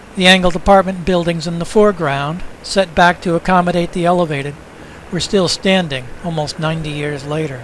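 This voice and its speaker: A man with a high pitch speaks at a fairly quick pace with fairly even intonation, over noticeable background noise. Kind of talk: documentary narration of historical newsreel footage.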